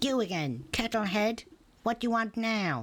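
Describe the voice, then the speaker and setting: A cackling, put-on character voice. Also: woman. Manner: annoyed, sarcastic.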